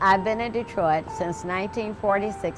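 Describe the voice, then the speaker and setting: A woman talks at medium pitch while music plays in the background. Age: 80s+. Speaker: retired city worker. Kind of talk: testimony.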